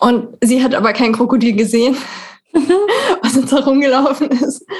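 The voice belongs to a woman and sounds somewhat breathy. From Germany, Berlin. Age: 30s. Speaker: podcast host. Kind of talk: interview.

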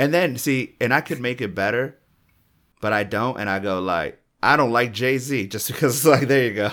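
On a very clean recording with a silent background, a man in an ordinary speaking voice talks at a moderate pace with medium pitch and ordinary pitch variation. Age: 30s. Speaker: comedian and podcast co-host. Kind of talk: casual chat.

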